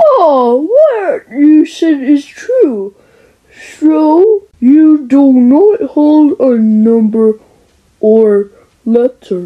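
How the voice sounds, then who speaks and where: A woman does a cartoonish character voice, high in pitch, with very wide pitch swings, very even loudness and a very slow pace. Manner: calm, wise, reassuring.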